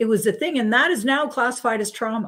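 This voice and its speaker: A plain, everyday voice with a Canadian accent carries lively intonation on a very clean recording with a silent background. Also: woman. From Edmonton, Alberta, Canada. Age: 60s. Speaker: spiritual healing guest. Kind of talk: radio interview. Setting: radio show.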